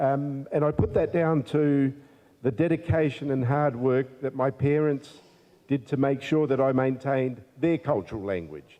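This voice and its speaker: An Australian accent marks this man's fairly high voice, delivered at a moderate pace with ordinary pitch variation and very even loudness. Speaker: politician. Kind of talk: formal speech. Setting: community event with audience. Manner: halting, many fillers.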